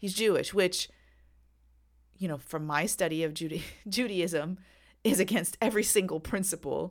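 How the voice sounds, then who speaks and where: A woman with a medium pitch and ordinary pitch variation speaks with long, frequent pauses. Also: moderate pace. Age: 40s. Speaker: podcast host and attorney. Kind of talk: solo political commentary podcast. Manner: animated.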